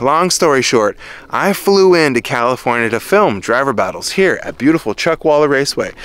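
A man talks with lively intonation. The sound is dry with no echo. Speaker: car vlogger. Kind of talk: casual vlog chat. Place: open country. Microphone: phone near.

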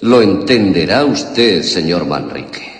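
A man's put-on character voice, low and slow, with vocal fry, big pitch swings and strong room echo

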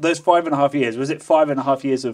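A man speaks fast at a medium pitch, with ordinary pitch variation.

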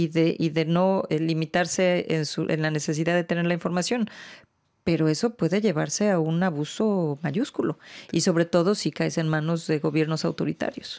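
A woman's fairly low voice at a moderate pace, very even in loudness, with fairly even intonation against a quiet background. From Mexico. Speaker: international organization official. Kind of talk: interview. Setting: studio. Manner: halting, many fillers. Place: studio. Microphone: studio mic.

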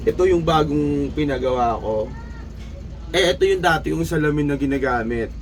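The speaker talks at a moderate pace, with audible room echo and noticeable background noise. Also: man. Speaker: vlogger. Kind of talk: casual vlog monologue.

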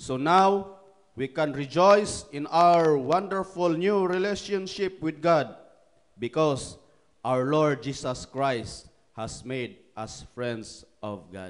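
Over a quiet background, a man speaks at a very slow pace and fairly high pitch. His intonation is lively, and his loudness swings widely. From Philippines. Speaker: preacher. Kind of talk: fervent prayer, pleading and rhythmic, closing each phrase with "O God". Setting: online church service via livestream, from Japan. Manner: earnest, heartfelt, with repeated invocations and slow, solemn cadence. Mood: fervent prayer. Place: hall. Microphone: handheld.

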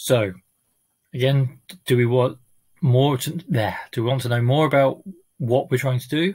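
The background stays quiet. A man's voice sounds somewhat breathy. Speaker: amateur reader. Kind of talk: casual talk to audience. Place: home room. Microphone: webcam.

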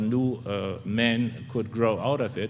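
Speaking with a German accent, a man talks at a fairly slow pace. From Germany. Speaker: New Testament scholar; debater. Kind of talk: formal debate. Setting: university stage with audience. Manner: halting. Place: hall. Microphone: podium.

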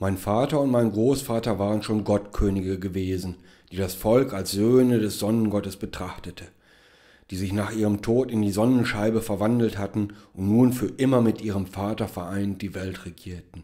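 A man's dark, mellow tone at fairly low pitch, fairly even intonation and moderate pace, on a very clean recording with a silent background. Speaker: author reading own story. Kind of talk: dramatic narration, reading aloud own short story. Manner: solemn, measured, grandly dramatic, then dry and ironic at the end; formal.

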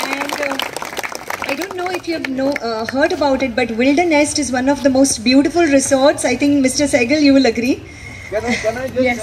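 High-pitched woman at a moderate pace with ordinary pitch variation, against noticeable background noise. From India. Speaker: institute representative, emcee. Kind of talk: event speech. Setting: outdoor park event with audience. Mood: warm, grateful. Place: open country. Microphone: camera far.

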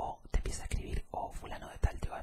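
Over loud background noise, a soft-spoken man talks at a very fast pace. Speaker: ASMR content creator. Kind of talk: casual vlog chat. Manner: soft-spoken close-mic ASMR voice. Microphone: studio mic.

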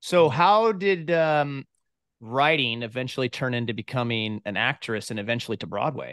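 Against a quiet background, a man talks at a moderate pace, the sound dry and without echo. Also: lively intonation. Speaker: podcast host. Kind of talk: interview. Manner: animated. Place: home room. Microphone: studio mic.

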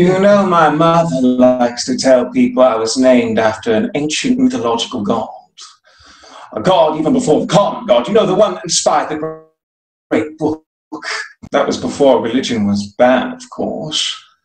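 A put-on character voice from a man, breathy and fairly high, with very wide pitch swings, a moderate pace and a slight echo. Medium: audio drama. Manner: chatty, airy, self-amused, giggling.

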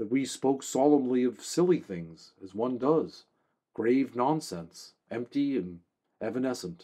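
Reading aloud in a natural voice, ordinary pitch variation, quiet background

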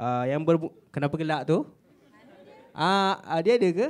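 Against a quiet background, a man speaks at a moderate pace in a high pitch. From Malaysia. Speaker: student moderator. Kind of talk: event moderation. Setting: stage with audience. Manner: halting. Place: hall. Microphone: handheld.

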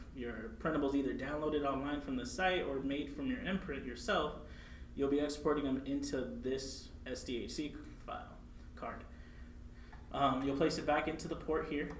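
Audible room echo and light background noise surround a man speaking at a moderate pace with long, frequent pauses. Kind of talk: tutorial. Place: meeting room.

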